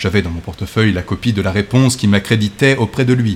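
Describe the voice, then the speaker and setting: A man's theatrical, fairly low voice with ordinary pitch variation amid noticeable background noise. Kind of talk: dramatic first-person gothic narration, read aloud as a story. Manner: slow, suspenseful, theatrical, hushed and ominous; formal literary diction, gradually building to breathless, feverish intensity.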